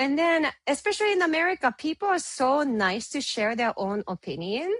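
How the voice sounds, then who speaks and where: This woman's voice is high in pitch, with very wide pitch swings. The sound is dry and close with no echo, over a quiet background. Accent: Japanese. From Japan. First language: Japanese. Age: 30s. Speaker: photographer and business owner. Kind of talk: interview.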